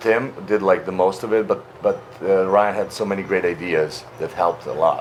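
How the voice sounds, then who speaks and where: A man's fairly low voice in a Slavic accent, with noticeable background noise. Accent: Slavic accent, a little softer than Russian. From Slavic country (Serbia). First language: Serbian (Slavic). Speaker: actor and voice actor. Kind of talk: interview. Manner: halting, many fillers.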